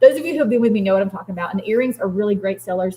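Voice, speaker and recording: A woman in a Southern US accent speaks at medium pitch, somewhat breathy, with ordinary pitch variation. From US South. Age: 40s. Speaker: craft business livestreamer. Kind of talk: live stream chat with viewers. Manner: fast; animated.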